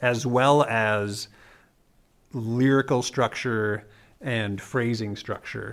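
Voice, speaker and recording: Recorded very cleanly against a silent background, a man with an American accent speaks very slowly at a medium pitch, with fairly even intonation and long, frequent pauses. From US Midwest (Wisconsin). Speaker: music theorist, professor. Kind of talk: casual chat.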